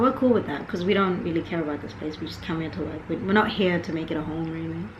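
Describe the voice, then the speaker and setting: A woman's fairly low-pitched voice at a very fast pace with hardly any pauses, lively intonation and big swings in loudness, over noticeable background noise and audible room echo. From South Africa, Johannesburg until 13, then York, England. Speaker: podcast co-host. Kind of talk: casual chat.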